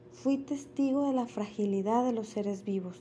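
A somewhat breathy woman at a fairly slow pace. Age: 30s. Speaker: intensive care nurse. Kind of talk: personal testimony, read from a script. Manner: formal.

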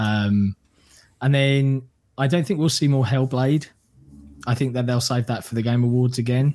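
A man talks in a plain, everyday voice at a medium pitch. His pace is moderate. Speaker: content creator. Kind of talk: casual chat.

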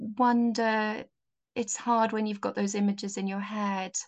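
In a Welsh accent, a woman speaks at a fairly high pitch. Her intonation is fairly even, and the background is quiet. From Wales. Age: 50s. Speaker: mental health social worker. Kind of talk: casual chat.

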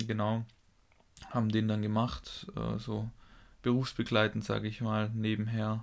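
A man speaks at a fairly slow pace in a fairly low pitch, with monotone, flat intonation. Long, frequent pauses break up his speech. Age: 20s. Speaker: physiotherapy trainee and podcast co-host. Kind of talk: casual chat.

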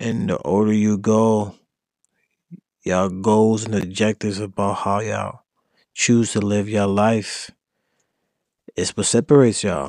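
Recorded very cleanly against a silent background, a man with a fairly low pitch speaks at a fairly slow pace with fairly even intonation and long, frequent pauses. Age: 20s. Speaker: podcast host. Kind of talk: casual monologue. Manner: casual, rambling delivery.

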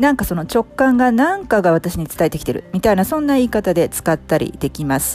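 A woman's medium-pitched voice at a fairly quick pace, with very wide pitch swings and noticeable background noise. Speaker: coaching podcast host and English coach. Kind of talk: casual explanatory monologue, Japanese mixed with English. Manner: fast when speaking English; many fillers and hesitations.

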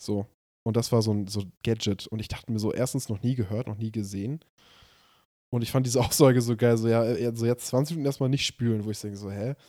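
The recording is very clean, with a silent background. A man talks very fast at a medium pitch, with a dark, mellow tone and fairly even intonation. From northern Germany, Hamburg area. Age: 20s. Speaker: podcast co-host. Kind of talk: casual chat.

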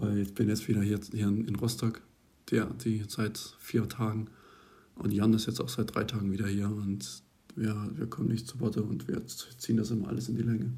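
In a normal speaking voice, a man talks at a moderate pace with a fairly low pitch and ordinary pitch variation. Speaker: university student, podcast co-host. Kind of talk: casual chat.

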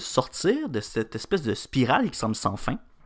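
A man with a Quebec accent talks at a fairly slow pace in a medium pitch. The recording is very clean, with a silent background. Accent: Québécois French. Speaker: news podcast co-host, student. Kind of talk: morning news chat.

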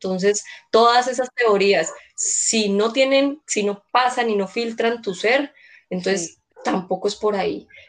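Fairly high for a woman, this unremarkable speaking voice shows ordinary pitch variation. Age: 30s. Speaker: social worker and educator. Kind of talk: casual chat.

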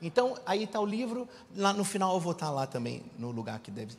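A man talks at a moderate pace, his voice somewhat breathy. His pitch swings very widely. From Rio de Janeiro, Brazil. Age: 40s. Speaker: preacher and business mentor. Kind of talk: sermon.

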